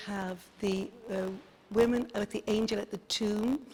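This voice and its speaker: With a slight Dublin accent, a woman speaks in a monotone, flat intonation at a fairly high pitch against noticeable background noise. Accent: Dublin Irish, slight. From Ireland, Dublin. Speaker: tour guide. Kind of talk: guided tour.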